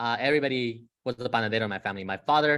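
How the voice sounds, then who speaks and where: A man with a Spanish accent talks at a fairly quick pace with ordinary pitch variation, on a very clean recording with a silent background. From San Diego area, US (Mexican-born). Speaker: guest speaker on undocumented students. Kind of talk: presentation with personal story. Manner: many fillers (um, uh).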